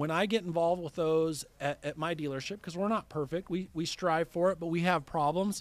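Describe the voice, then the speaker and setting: A man speaks at a fairly quick pace in a high voice with fairly even intonation. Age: 40s. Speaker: finance manager at car dealership. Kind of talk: interview.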